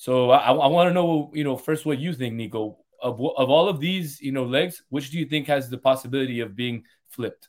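This is a plain, everyday voice moving at a fairly quick pace. Its pitch variation is ordinary. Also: man, fairly high pitch for a man. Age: 30s. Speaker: podcast host. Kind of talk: casual chat.

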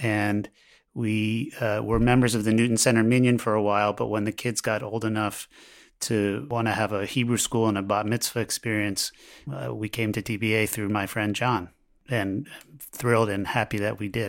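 In an ordinary speaking voice, a man with an American accent speaks at a moderate pace and a fairly low pitch. His intonation is fairly even, on a very clean recording with a silent background. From US, Baltimore. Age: 50s. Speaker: law professor. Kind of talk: interview.

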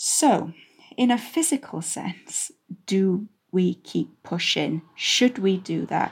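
Speaking at a very slow pace, a somewhat breathy woman uses a medium pitch with very wide pitch swings. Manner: strained, halting.

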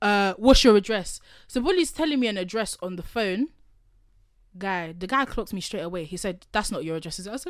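With a London accent, a woman speaks at a medium pitch and fairly quick pace with lively intonation and big swings in loudness, on a very clean recording with a silent background. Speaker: podcast host. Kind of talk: casual chat. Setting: studio.

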